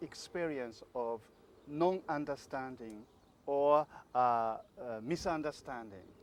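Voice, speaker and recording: A man with a Japanese accent, fairly high in pitch, at a very slow pace. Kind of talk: interview. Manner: halting, many fillers.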